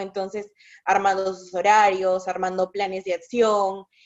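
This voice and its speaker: A medium-pitched woman's voice at a moderate pace. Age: 20s. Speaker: psychologist. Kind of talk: casual chat.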